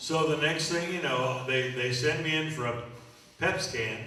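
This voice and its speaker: A man speaking fairly slowly with ordinary pitch variation, amid audible room echo and noticeable background noise. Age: 70s. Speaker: magician and entertainer. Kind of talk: talk to a live audience. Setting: church luncheon with audience. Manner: conversational, with frequent hesitations.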